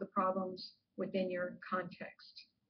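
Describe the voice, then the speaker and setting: Her voice is somewhat breathy, and this woman speaks at a medium pitch. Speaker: professor. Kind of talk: lecture.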